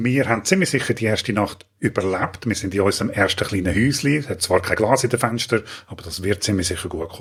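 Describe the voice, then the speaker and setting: A man talks at a very fast pace in a fairly low, somewhat breathy voice with ordinary pitch variation. The recording is very clean, with a silent background. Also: hardly any pauses. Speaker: gaming tutorial youtuber. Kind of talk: tutorial.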